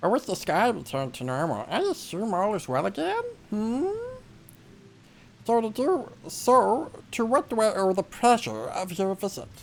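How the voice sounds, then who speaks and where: A put-on character voice with fairly high pitch moves at a moderate pace, broken by long, frequent pauses. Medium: video game. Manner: formal, old-fashioned courtesy.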